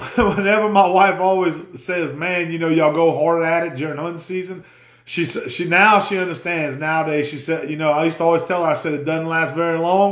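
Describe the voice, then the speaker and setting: A man speaks at a high pitch with fairly even intonation and a moderate pace. Audible room echo surrounds his voice. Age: 40s. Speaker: outdoors podcast host. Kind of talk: casual solo podcast talk. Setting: live stream on social media.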